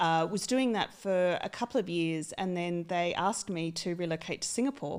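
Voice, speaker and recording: Woman with a fairly low pitch and ordinary pitch variation, at a moderate pace with hardly any pauses, in a very clean recording with a silent background. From Australia, country town. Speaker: HR executive. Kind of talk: podcast interview. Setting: studio.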